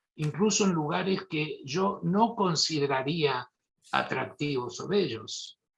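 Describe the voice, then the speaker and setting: The speaker talks in a Mendoza accent with lively intonation. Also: man. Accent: Mendoza Argentine. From Argentina, Mendoza. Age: 70s. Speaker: neurosurgeon. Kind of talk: lecture.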